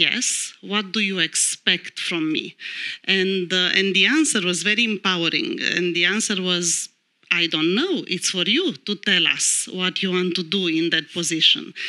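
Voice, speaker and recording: The voice has a Romanian accent and a bright, sharp tone. It moves at a fairly slow pace over a quiet background. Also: woman, ordinary pitch variation. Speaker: lawyer. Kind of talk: panel discussion. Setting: stage with audience. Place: stage. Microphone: handheld.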